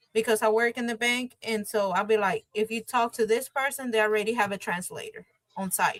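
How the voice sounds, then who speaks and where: In a Spanish accent, a woman with a fairly high pitch speaks at a moderate pace and fairly even intonation, the sound dry and close with no echo. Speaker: bilingual notary and bank worker. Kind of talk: interview. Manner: casual, with filler words.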